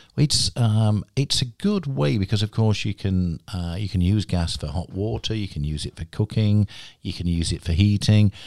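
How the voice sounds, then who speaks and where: With a British accent and a fairly low pitch, a man talks with hardly any pauses in a dry, close sound with no echo. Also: ordinary pitch variation, moderate pace. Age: 50s. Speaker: podcast host. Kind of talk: casual interview. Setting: studio.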